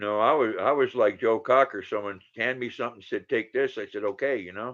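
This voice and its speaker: The man in this clip talks at a moderate pace. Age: 60s. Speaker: livestreamer chatting with viewers. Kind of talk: casual live-stream chat.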